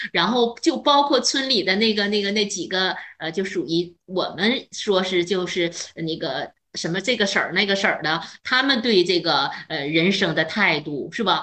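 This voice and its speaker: A woman at a moderate pace, an unremarkable speaking voice, medium in pitch with lively intonation. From northern China. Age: 50s. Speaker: retired chemistry teacher. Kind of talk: casual chat.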